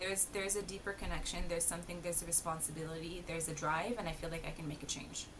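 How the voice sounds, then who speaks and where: A woman with a fairly low pitch speaks very fast in a monotone, flat intonation, with hardly any pauses. Noticeable background noise and audible room echo are present. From Palestinian family. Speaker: embroidery design business founder. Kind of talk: casual interview.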